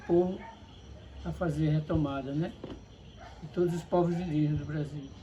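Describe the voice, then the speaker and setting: A man talks at a fairly quick pace. His speech is broken by long, frequent pauses. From Paraíba, northeastern Brazil. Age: 60s. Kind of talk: interview.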